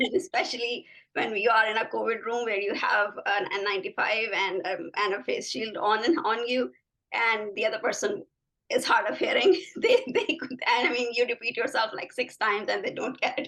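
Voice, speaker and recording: A woman's bright, sharp tone with a non-native accent, fairly high pitch, lively intonation and a moderate pace. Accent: foreign accent in US English. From Pakistan. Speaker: physician, assistant professor of medicine. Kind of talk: interview conversation.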